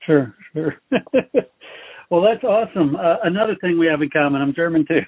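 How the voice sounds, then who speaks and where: A high-pitched man with an American accent, at a fairly quick pace, with lively intonation and long, frequent pauses. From Texas. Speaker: podcast host. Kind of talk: interview.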